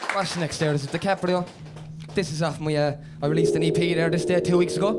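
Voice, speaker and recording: Clear music plays behind the voice. A man speaks very fast. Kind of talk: stage banter then rapping. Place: home room. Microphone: handheld.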